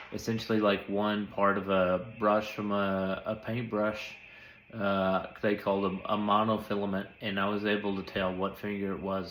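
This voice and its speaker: A man speaks in a flat, monotone way at a fairly low pitch, with audible echo from the room. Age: young. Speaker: stroke survivor. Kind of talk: casual update monologue. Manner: flat intonation; hesitant with many fillers.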